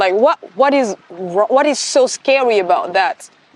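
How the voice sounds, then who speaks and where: Her intonation is lively and her pitch high. The woman's voice sounds dry and close, with no echo. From Democratic Republic of the Congo. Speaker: consultant and doctoral student. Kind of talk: interview answer. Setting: outdoors. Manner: friendly.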